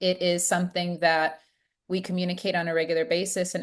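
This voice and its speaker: A woman speaks with an American accent at a moderate pace. Her pitch is fairly low. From United States. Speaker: leadership trainer. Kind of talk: virtual class facilitation. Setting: video call. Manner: animated.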